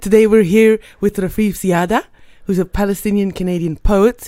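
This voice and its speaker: A woman's dark, mellow tone at a fairly quick pace with ordinary pitch variation. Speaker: podcast co-host. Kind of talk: interview chat.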